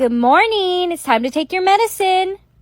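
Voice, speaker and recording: A woman in a put-on character voice speaks at a moderate pace, squeaky and at an extremely high pitch, with very wide pitch swings. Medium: voice reel.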